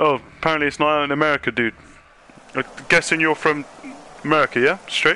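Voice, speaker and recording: In a strong British accent, a man talks at a very fast pace broken by long, frequent pauses. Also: fairly high pitch for a man. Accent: strong British accent (own remark). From UK. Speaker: gaming streamer. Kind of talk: casual gameplay chat. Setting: live stream with game chat. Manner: animated, repetitive.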